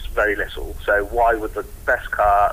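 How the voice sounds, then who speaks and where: A man talks with an English accent. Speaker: motorsport journalist. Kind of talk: casual chat.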